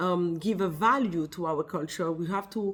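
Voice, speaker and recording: A woman's medium-pitched voice in a French accent, with ordinary pitch variation. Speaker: wellness business founder. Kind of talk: casual vlog talk to camera. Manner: halting, with many fillers.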